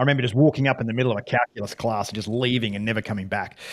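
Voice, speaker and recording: The speaker has an Australian accent and fairly even intonation. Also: man. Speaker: former fighter pilot, business founder. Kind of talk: interview. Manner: halting, many restarts.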